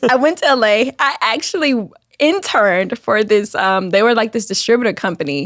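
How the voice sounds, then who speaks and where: Lively in intonation and very even in loudness, a woman with an American accent speaks at a fairly high pitch. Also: moderate pace. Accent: Southern US, toned down here. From Alabama. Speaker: YouTube scripted series creator. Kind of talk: interview.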